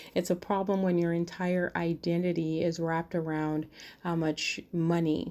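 A woman speaks with a fairly low pitch and a dark, mellow tone. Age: 40s. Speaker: podcast host. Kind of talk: solo podcast monologue.

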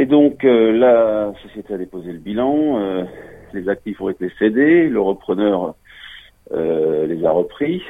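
Very wide pitch swings at a very slow pace. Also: man. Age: 40s. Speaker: former construction business manager. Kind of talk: testimony. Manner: halting.

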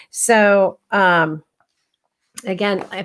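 A very clean recording of a woman speaking, the background silent. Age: 50s. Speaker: health coach and podcast host. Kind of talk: casual solo talk. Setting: live broadcast. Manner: halting, many fillers.

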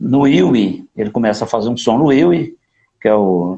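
With very wide swings in pitch, the man talks at a fairly slow pace. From Minas Gerais, Brazil (Divinópolis). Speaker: saxophonist. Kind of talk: casual interview. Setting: live stream. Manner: animated.

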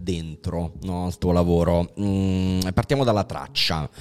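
The man's voice sits at a very deep, low pitch. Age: 40s. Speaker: podcast host. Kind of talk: casual chat.

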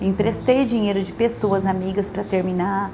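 A woman with a medium-pitched voice talks at a moderate pace, with audible room echo and noticeable background noise. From Brazil, rural interior of São Paulo state (Parapuã). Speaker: pharmacist and business owner. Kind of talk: interview testimony.

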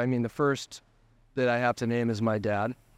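Speaking fairly quickly with an American accent, a man uses an ordinary speaking voice. His pitch is medium and his intonation fairly even. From Colorado, US. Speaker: photographer. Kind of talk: interview. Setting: hotel.

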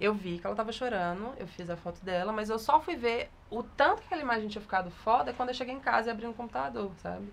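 Speaking at a very fast pace with hardly any pauses, a woman uses a fairly high pitch, vocal fry and lively intonation. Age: 20s. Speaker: photographer. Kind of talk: interview.

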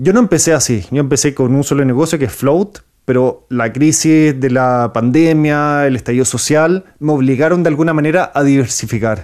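A man's plain, everyday voice, fairly high with ordinary pitch variation, at a moderate pace with hardly any pauses and very even loudness. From Chile. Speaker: entrepreneur and YouTube interviewer. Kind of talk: interview.

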